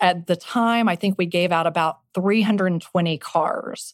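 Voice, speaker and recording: In an ordinary speaking voice, a woman with an American accent talks at a moderate pace and a fairly low pitch. Her intonation stays fairly even, and the sound is dry and close with no echo. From Texas Panhandle. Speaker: venture capitalist. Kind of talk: interview.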